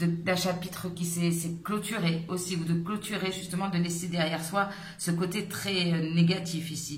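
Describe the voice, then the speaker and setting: Flat and monotone, a woman speaks fairly low at a moderate pace with audible room echo. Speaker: tarot reader. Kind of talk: tarot reading. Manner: halting, hesitant.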